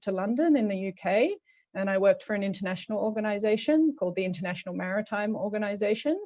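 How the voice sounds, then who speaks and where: With an Australian accent and a medium pitch, a woman talks at a very fast pace against a quiet background. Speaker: policy advisor, program alumna. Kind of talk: panel introduction on video call.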